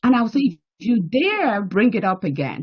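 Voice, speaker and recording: Speaking with a strong Nigerian accent, a woman uses a fairly high pitch marked by vocal fry. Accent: Nigerian accent, still strong. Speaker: banking executive and diplomat. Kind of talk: interview testimony. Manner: animated.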